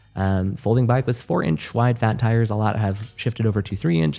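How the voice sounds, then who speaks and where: Music plays in the background while a man talks at a very fast pace. His pitch is fairly low, with ordinary pitch variation. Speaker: e-bike podcast co-host. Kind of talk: casual chat.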